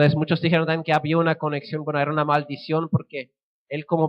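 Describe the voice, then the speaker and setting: A man's fairly high voice with a Swiss German accent. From Switzerland (German-speaking). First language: Swiss German (speaking Spanish). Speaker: missionary. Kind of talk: sermon.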